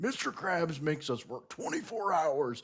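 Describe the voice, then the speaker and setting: A man speaks at a moderate pace in a put-on character voice, pitched fairly high. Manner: angry, yelling.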